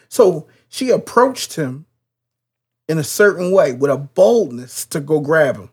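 A man talks at a fairly slow pace in an animated tone, with long, frequent pauses, very wide pitch swings and big swings in loudness. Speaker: podcast host. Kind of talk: casual conversation about faith. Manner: animated, preacher-like.

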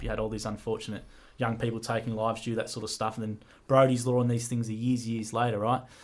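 In an Australian accent, a man speaks at a very fast pace with a medium pitch and a bright, sharp tone. The recording is very clean, with a silent background. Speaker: podcast co-host. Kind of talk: casual chat.

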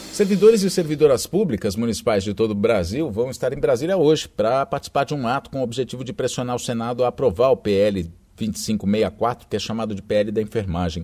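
This man has a medium pitch and a dark, mellow tone. He talks at a fairly quick pace with lively intonation and hardly any pauses. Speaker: radio news presenter. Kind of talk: news reading. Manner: formal.

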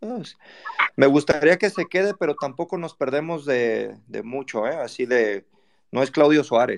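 With a Mexican accent, a man speaks fairly slowly at a fairly high pitch, his intonation lively and the sound dry and close with no echo. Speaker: football fan panelist. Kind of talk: casual chat. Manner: animated.

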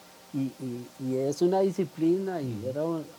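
A man with a fairly high pitch talks over noticeable background noise. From Costa Rica, Cartago. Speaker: environmental campaigner and football fan. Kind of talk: interview. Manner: halting, many fillers.

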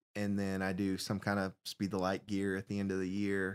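With a Southern US accent, a man talks at a fairly low pitch in a very clean recording against a silent background. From Alabama. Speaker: youth pastor. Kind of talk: casual interview.

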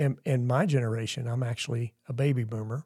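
A man's medium-pitched, dark, mellow, somewhat breathy voice at a moderate pace with fairly even intonation, dry and close with no echo, on a very clean recording with a silent background. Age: 60s. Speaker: church member co-hosting podcast. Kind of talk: casual chat.

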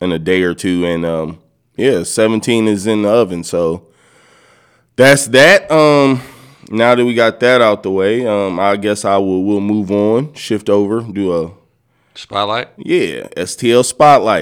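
A man's fairly low, relaxed voice at a very slow pace, with ordinary pitch variation. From California. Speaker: podcast co-host. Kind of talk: casual banter podcast. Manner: relaxed, jokey, laughs often.

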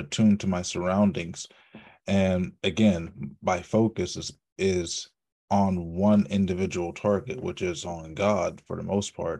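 Over a quiet background, a man speaks fairly slowly in a very deep, low voice with a dark, mellow tone and ordinary pitch variation. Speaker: podcast host. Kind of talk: casual chat.

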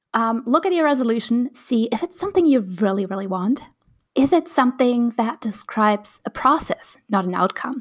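A somewhat breathy woman's voice, fairly high in pitch, at a moderate pace, with a dry, close sound and no echo. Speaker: podcast host and coach. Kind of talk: solo podcast monologue. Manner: casual with many fillers.

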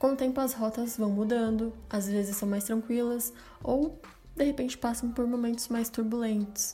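A woman's fairly high pitch at a moderate pace, with fairly even intonation, very even loudness, and noticeable background noise. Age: 20s. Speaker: podcast host. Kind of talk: solo podcast monologue. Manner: casual and chatty.

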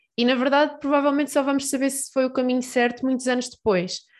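A woman speaks at a moderate pace, with the background quiet. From Portugal, Peniche. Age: 20s. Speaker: PhD student and science communicator. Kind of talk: interview. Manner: hesitant with repetitions.

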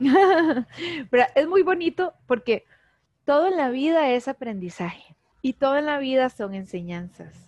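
A woman with a Costa Rican accent speaks fairly slowly in a high voice with very wide pitch swings. The sound is dry and close, with no echo. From Costa Rica, Heredia. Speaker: animal communicator. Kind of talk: interview.

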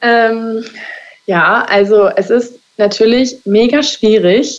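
A woman's unremarkable speaking voice, fairly high in pitch with fairly even intonation. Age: 20s. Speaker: hairdresser. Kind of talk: interview.

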